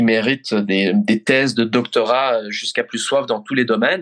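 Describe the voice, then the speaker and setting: A man's medium-pitched voice at a very slow pace. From Belgium (Brussels). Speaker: foreign correspondent journalist. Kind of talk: interview. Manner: halting, repeats words.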